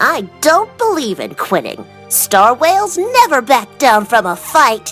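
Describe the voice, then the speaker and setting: A put-on character voice sits high in pitch, with very wide pitch swings at a fairly slow pace. Clear music plays in the background. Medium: audio drama. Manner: determined, earnest.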